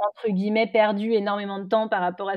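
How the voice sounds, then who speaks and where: A woman talks at a medium pitch. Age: 20s. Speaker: beauty brand co-founder. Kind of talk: interview.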